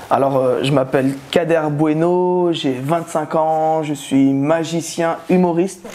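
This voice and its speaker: This man's voice sits fairly high, with fairly even intonation. He talks at a very slow pace with hardly any pauses, over noticeable background noise. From Tunis and Aubervilliers (Paris suburbs). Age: 20s. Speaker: magician and comedian. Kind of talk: interview testimony. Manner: hesitant, many fillers.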